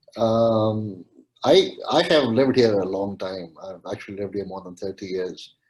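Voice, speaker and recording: At a moderate pace, a man with a medium pitch talks with a Pakistani accent. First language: Urdu. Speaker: webinar participant. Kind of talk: panel discussion. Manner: halting, many fillers.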